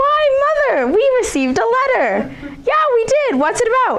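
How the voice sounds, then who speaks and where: A woman's put-on, squeaky character voice at an extremely high pitch, with clear background noise. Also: moderate pace. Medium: read story. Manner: bratty, whiny.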